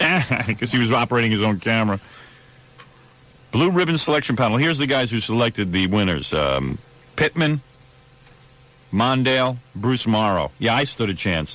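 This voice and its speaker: A man at a medium pitch with lively intonation, very even loudness and long, frequent pauses, over noticeable background noise. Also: moderate pace. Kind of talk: radio talk show host banter, bantering with co-hosts about awards.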